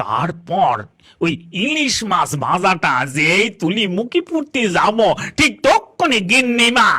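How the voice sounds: Using a cartoonish character voice, a man speaks at a high pitch and a fairly slow pace.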